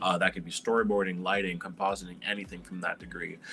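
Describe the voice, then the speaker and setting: Very fast speech over noticeable background noise. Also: man. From Quebec, Montreal. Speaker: animator and illustrator. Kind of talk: panel interview.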